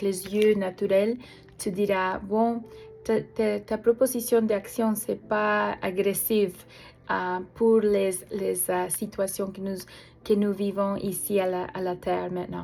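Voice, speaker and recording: A woman with a non-native accent speaks at a medium pitch in a dark, mellow tone. Her delivery is very slow and monotone, with flat intonation and long, frequent pauses. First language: not French (French is her third language) (speaking French). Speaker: prayer ministry leader. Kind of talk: religious appeal message. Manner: halting, many hesitations.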